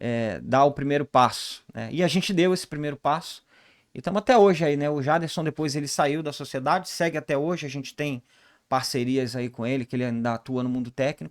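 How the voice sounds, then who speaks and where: A man talks at a fairly quick pace and fairly high pitch. The recording is very clean, with a silent background. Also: ordinary pitch variation. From Rio de Janeiro, Brazil. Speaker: ERP consultant, business co-founder. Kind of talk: podcast interview.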